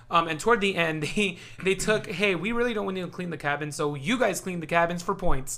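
A man with an American accent speaks at a fairly quick pace in a high pitch, with noticeable background noise. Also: ordinary pitch variation. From Tucson, Arizona. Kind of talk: casual chat.

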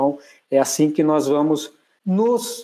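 Here a man speaks with a dark, mellow tone at a fairly high pitch. The recording is very clean, with a silent background. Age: 50s. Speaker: agronomy professor and consultant. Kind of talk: casual interview chat.

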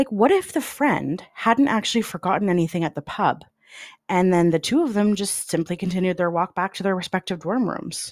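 A woman with a Canadian accent and an unremarkable speaking voice, medium pitch and ordinary pitch variation, fairly quick, in a very clean recording with a silent background and a dry, close sound with no echo. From Canada (London, Ontario). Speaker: true crime podcast host. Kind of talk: scripted narration.

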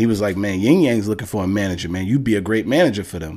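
Here a man speaks with a New York accent. His voice sits fairly low in pitch. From Bronx, New York. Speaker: music manager. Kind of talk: casual chat.

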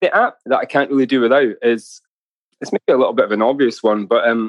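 The speaker has a Hebridean accent and ordinary pitch variation. The sound is dry and close, with no echo. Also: man. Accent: Hebridean Scottish. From Scotland, Isle of Mull (Hebrides). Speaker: musician and novelist. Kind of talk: casual interview.

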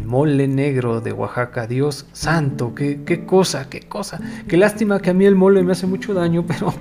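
Over music in the background, a man with a fairly high pitch speaks at a moderate pace with lively intonation and hardly any pauses. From Mexico. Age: 40s. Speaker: podcast host, journalist and editor. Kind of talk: casual solo monologue.

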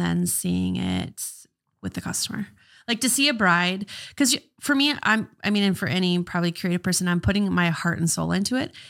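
Over a very clean recording with a silent background, a woman speaks at a moderate pace with a medium pitch and lively intonation. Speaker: florist and business owner. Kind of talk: casual interview. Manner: mumbling, rambling.

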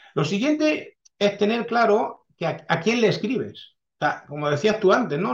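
With a lively, varied intonation, the man delivers his words fairly slowly. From France, then Catalonia from age 14. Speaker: historical novelist. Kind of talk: interview.

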